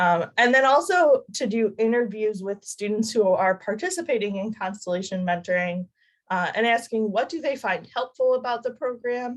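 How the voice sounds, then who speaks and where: In an ordinary speaking voice, a woman talks at a moderate pace with a fairly high pitch. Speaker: doctoral student presenter. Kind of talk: academic presentation. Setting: video call.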